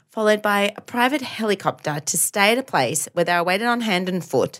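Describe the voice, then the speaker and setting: In an Australian accent, a woman talks at a fairly quick pace with a fairly high pitch, lively intonation and vocal fry. The recording is very clean, with a silent background. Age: 30s. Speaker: podcast co-host, teacher. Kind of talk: casual chat.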